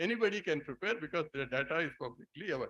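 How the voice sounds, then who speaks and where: Words come out at a very fast pace. A man is speaking. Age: 70s. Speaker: economist. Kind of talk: panel discussion reply.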